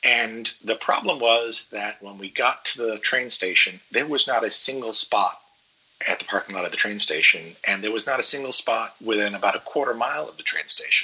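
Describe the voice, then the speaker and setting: Over noticeable background noise, a man talks at a fairly quick pace with big swings in loudness. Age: 50s. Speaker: traveler guest. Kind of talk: casual interview, trip report.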